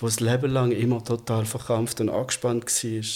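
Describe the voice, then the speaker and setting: There is a somewhat breathy, medium-pitched man's voice with monotone, flat intonation. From Germany. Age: 50s. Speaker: transgender man telling his life story. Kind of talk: casual interview conversation.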